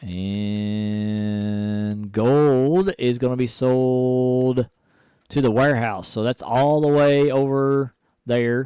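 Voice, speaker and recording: A very slow pace and a dark, mellow tone, with ordinary pitch variation and a dry, close sound with no echo. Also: man, medium pitch for a man. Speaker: gaming streamer. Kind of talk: live gameplay commentary. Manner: soft-spoken.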